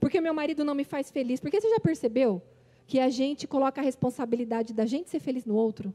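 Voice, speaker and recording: A woman's high, intense voice at a fairly quick pace, lively in intonation, dry and close with no echo. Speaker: preacher. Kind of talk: sermon. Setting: church conference stage. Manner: fast.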